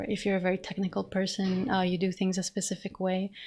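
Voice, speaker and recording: Somewhat breathy, flat, monotone speech at a fairly quick pace. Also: woman. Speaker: digital artist. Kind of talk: narrated art demo talk. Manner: fast; casual, hesitant with fillers.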